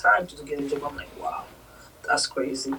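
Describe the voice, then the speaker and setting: A woman's lively intonation and fairly quick pace come through over noticeable background noise. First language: not English. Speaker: nurse. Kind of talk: interview.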